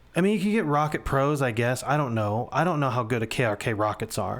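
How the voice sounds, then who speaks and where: With lively intonation, a man speaks in an animated tone. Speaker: music producer. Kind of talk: tutorial. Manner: loud.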